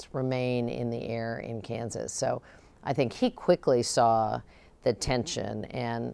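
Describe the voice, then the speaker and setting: A woman with a Midwestern American accent, at a very slow pace. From Ohio. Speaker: former state governor and cabinet secretary. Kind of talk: oral history interview answer.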